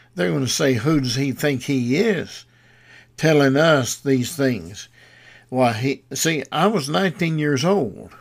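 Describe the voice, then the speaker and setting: The words come very slowly in a Southern US accent. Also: man, very clean recording, silent background. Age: 80s+. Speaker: radio preacher. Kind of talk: sermon. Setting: studio. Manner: halting.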